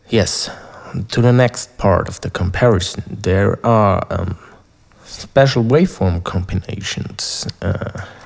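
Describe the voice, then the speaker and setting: Against noticeable background noise, a man speaks very slowly at a fairly low pitch with ordinary pitch variation. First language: not English. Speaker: synthesizer YouTuber. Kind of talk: tutorial. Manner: halting.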